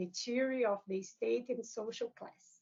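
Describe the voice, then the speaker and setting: Speaking with a Brazilian Portuguese accent, a woman talks at a fairly slow pace in a high pitch. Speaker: academic author. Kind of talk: lecture. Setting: book launch event with audience. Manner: formal.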